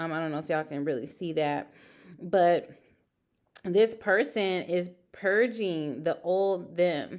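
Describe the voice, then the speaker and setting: A woman's fairly low voice with ordinary pitch variation, a fairly slow pace and long, frequent pauses. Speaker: tarot reader. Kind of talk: tarot reading. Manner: halting.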